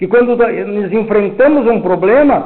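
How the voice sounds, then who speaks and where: A loud, high-pitched male voice with lively intonation at a moderate pace, amid noticeable background noise and audible room echo. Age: 70s. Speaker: spiritist lecturer. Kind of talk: lecture.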